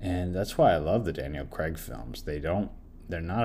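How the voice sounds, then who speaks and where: This man's voice sits very deep and low. The room around him echoes audibly. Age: 30s. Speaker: podcast film reviewer. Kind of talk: solo film review monologue. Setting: home recording while doing laundry. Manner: casual, halting with self-corrections.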